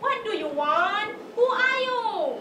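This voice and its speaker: A woman's put-on character voice with a slight echo and clear background noise. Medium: stage play. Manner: cheeky, confident.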